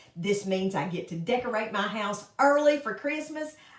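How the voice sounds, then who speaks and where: A woman talks at a moderate pace with a Southern US accent and lively intonation. Noticeable background noise runs behind her. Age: 60s. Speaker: makeup consultant. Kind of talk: casual chat; tutorial. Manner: casual.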